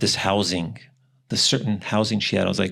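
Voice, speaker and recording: Over a very clean recording with a silent background, a man speaks with a slight European accent. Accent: slight tinge of European. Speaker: podcast host. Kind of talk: casual chat.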